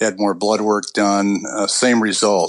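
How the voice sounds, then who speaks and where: A plain, everyday voice belongs to a man speaking at a fairly slow pace and a fairly low pitch. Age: 60s. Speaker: patient sharing illness story. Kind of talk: interview.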